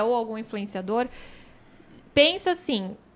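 This woman has a plain, everyday voice with a fairly high pitch, speaking at a moderate pace. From Brazil, São Paulo. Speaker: image and marketing consultant. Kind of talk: casual chat.

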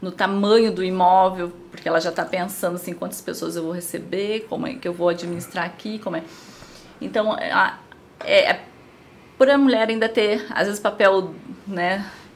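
With a southern Brazilian accent, a woman speaks at medium pitch and a moderate pace, with ordinary pitch variation, big swings in loudness and long, frequent pauses. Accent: gaúcho (southern Brazilian). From Rio Grande do Sul, Brazil. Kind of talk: casual interview.

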